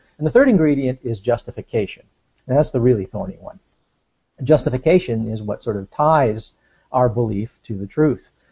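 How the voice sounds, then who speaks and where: The man talks at a fairly quick pace in a somewhat breathy voice. His pitch sits in the medium range, with ordinary variation. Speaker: philosophy discussant. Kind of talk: casual discussion explaining philosophy. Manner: fast; halting.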